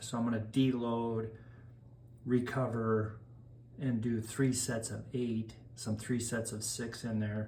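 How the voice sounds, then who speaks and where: Speaking at a very slow pace, a man with a medium pitch talks in a monotone, flat intonation as audible room echo surrounds him. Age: 60s. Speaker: masters powerlifter. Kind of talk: casual explanation of a training plan. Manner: casual, with filler hesitations.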